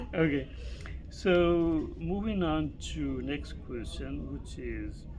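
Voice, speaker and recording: Room echo can be heard around a man's voice. He talks very slowly. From Northern Virginia, US. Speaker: YouTube interviewer. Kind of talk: casual interview.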